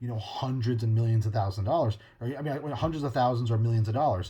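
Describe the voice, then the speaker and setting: A dark, mellow, somewhat breathy voice is heard in a very clean recording with a silent background. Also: man. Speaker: podcast host. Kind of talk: casual monologue.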